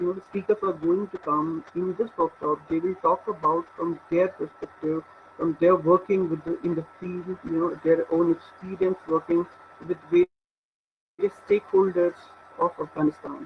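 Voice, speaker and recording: Here a man talks at a moderate pace. His voice is high-pitched for a man, and his intonation stays fairly even. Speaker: research scholar. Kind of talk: lecture. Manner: halting. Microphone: weak internet connection.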